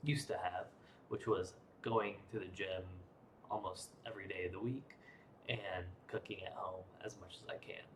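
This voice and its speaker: A man speaks quietly in a somewhat breathy voice. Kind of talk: casual vlog talk to camera. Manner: quiet, low energy.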